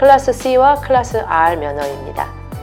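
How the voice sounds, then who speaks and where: Music plays in the background as a woman speaks. She keeps a moderate pace with very wide pitch swings. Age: 40s. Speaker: channel host, driving information presenter. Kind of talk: informational explainer to camera.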